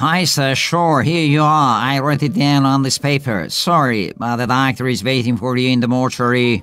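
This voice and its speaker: A man uses a put-on character voice that is shrill at a medium pitch, going at a moderate pace with hardly any pauses. Faint music plays in the background. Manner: very fast, rapid-fire, piercing.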